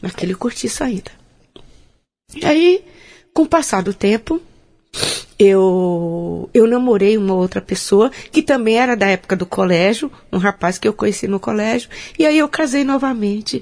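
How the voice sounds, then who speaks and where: Against a quiet background, the speaker moves at a fairly slow pace with very wide pitch swings and long, frequent pauses. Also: woman. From Bahia, Brazil (Porto Seguro). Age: 50s. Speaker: social entrepreneur and marathon runner. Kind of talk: interview, life story. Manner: halting, with frequent repetitions.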